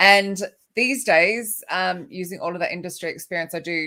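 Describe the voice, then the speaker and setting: In a very clean recording with a silent background, a woman with an Australian accent talks at a moderate pace in a fairly low pitch. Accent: Australian, noticeable. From Australia, Sydney. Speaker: recruitment author and keynote speaker. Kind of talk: podcast interview.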